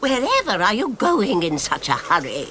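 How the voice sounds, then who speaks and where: A cartoonish character voice, fairly high in pitch, at a moderate pace over clear background noise. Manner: knowing, chatty.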